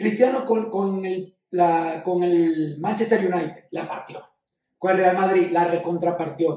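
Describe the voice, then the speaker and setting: This man's voice sits high in pitch, and his intonation stays fairly even. He talks at a very slow pace. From Venezuela. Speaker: sports podcast co-host. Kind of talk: casual chat.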